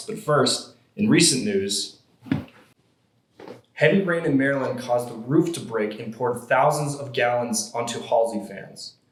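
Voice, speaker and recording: Speaking at a moderate pace, a man with a plain, everyday voice and medium pitch uses lively intonation and big swings in loudness. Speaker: comedy news show host. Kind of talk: satirical news anchor delivery, Weekend Update style.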